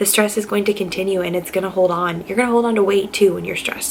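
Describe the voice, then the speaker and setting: A woman keeps her intonation fairly even while noticeable background noise is present. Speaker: nursing student vlogger. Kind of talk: casual vlog talk to camera. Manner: fast.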